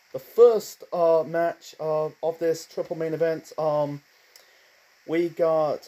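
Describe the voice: A man's dark, mellow tone at a slow pace, with fairly high pitch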